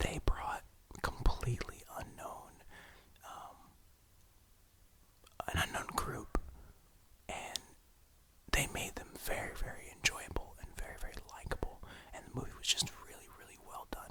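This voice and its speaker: A man whispering at a moderate pace, with long, frequent pauses, big swings in loudness and noticeable background noise. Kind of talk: ASMR whispered ramble to camera. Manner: whispered, soft, rambling.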